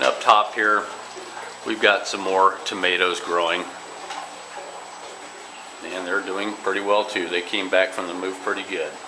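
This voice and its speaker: A man's very deep, low pitch at a moderate pace, monotone and flat, broken by long, frequent pauses, amid noticeable background noise. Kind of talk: tutorial. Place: home room. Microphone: phone near.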